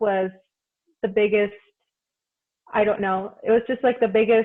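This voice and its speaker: A woman's medium-pitched voice with a slight non-native accent. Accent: second-language English, barely noticeable. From Mexico. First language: Spanish. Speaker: community college student leader. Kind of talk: interview. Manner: casual with fillers.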